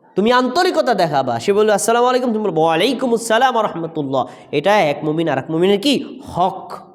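A man's high-pitched voice has very wide pitch swings yet very even loudness. Noticeable background noise and audible room echo are present. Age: 30s. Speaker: imam and madrasa lecturer. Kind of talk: sermon. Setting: mosque.

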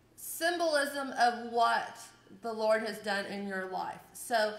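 The intonation here is lively. Audible room echo surrounds the voice. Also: woman. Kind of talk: church announcements. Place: church. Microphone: camera far.

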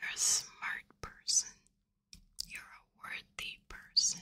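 Very slowly, a woman speaks in a whisper. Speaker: ASMR creator. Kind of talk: ASMR personal attention, whispered. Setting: close-mic studio recording with gain turned up. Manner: whispered, soft, intimate. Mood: warm, reassuring. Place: home room. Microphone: studio mic.

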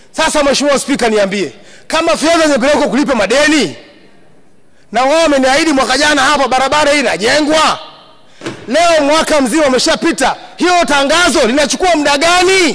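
A man's extremely high voice at a moderate pace, ordinary pitch variation, very even loudness, light background noise. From Manyara region, Tanzania. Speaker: member of parliament. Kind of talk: parliamentary speech. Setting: parliament chamber. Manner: animated. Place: hall. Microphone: podium.

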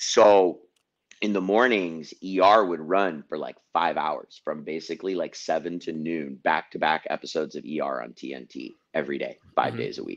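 A man speaks at a moderate pace in a very deep, low voice with vocal fry, ordinary pitch variation and big swings in loudness over a quiet background. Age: 40s. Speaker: activist; podcast host. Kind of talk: casual chat. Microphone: studio mic.

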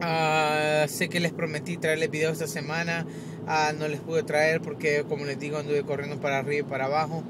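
A man's fairly high-pitched voice at a moderate pace, monotone and flat, with a dry sound with no echo and noticeable background noise. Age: 20s. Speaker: tech YouTuber. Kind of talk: casual vlog. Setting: in a car. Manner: halting, repetitive. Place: car. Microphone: phone near.

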